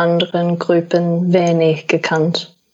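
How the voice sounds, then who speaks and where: In an English accent, a woman speaks at a very slow pace with a fairly low pitch and monotone, flat intonation. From Australia. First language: English (speaking German). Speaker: paramedic. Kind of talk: interview. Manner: halting, many fillers.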